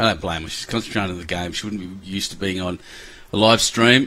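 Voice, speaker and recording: Against noticeable background noise, a man with an Australian accent talks at a very fast pace. His pitch is fairly low and his intonation fairly even. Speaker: lawn bowls commentator. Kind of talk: live commentary. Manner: casual, chatty.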